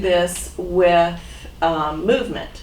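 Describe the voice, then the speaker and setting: A woman speaks with noticeable background noise and audible room echo around her. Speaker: physical therapist training volunteers. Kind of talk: training talk. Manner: loud; casual.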